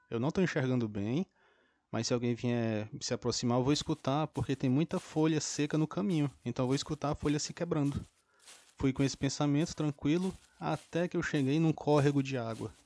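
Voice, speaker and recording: Fairly high in pitch with ordinary pitch variation, a man's dark, mellow voice moves at a fairly quick pace. The recording is very clean with a silent background, and the sound is dry and close with no echo. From Brazil, interior of Ceará (Northeast). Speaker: podcast host and book club reader. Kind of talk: book summary and personal anecdotes, solo podcast.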